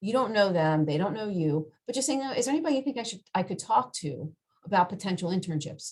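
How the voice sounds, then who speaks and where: A woman talks at a very fast pace in a medium pitch. Her voice is somewhat breathy, with very wide pitch swings. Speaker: career counselor. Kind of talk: workshop presentation. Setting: video call.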